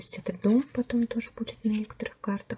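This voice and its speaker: A woman's voice in a flat monotone. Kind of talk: tarot deck review, casual talk to camera. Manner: soft-spoken.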